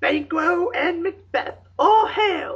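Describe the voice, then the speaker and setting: The pitch climbs extremely high. It is a put-on character voice. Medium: stage play.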